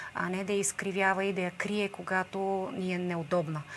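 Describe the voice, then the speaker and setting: There is light background noise. A woman speaks at a moderate pace in a monotone, flat intonation. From Bulgaria. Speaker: protest organizer; guest. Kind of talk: TV interview. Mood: earnest, critical of government. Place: studio. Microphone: lapel.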